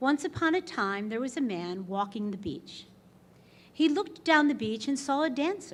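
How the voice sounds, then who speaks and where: A woman talks loudly in a high pitch with very wide pitch swings. Her pace is moderate. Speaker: award inductee. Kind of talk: acceptance speech.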